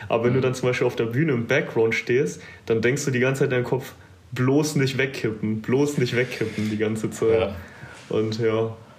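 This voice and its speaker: This man's voice sits at medium pitch and is somewhat breathy, with very even loudness. Audible room echo surrounds it. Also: moderate pace. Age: 20s. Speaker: bodybuilding competitor. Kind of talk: casual interview.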